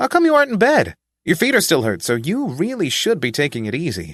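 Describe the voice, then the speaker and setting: A man puts on a character voice, high-pitched, raised and projected. He talks at a very fast pace against a quiet background. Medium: read story.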